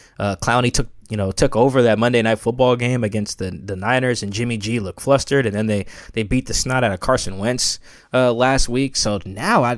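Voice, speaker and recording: This man has a plain, everyday voice with an American accent, medium pitch, ordinary pitch variation and a fairly quick pace. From US Pacific Northwest, Seattle. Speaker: sports writer. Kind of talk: casual chat.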